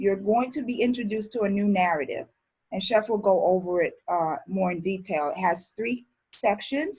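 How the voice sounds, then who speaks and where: Her voice comes through somewhat breathy. The woman keeps to a moderate pace. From born in Barbados, grew up in Brooklyn, New York. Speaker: chef instructor. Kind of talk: online class introduction.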